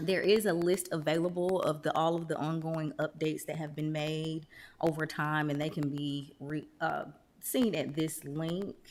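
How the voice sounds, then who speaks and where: In a very clean recording with a silent background, a woman with an ordinary speaking voice talks fairly slowly at a fairly low pitch for a woman. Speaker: town staff presenter. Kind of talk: council presentation.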